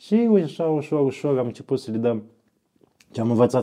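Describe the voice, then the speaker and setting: The background is quiet as a man's dark, mellow voice moves along at a moderate pace. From Romania, Iași (Moldavia). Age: 40s. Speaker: fasting camp organizer, former journalist. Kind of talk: casual interview. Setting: monastery.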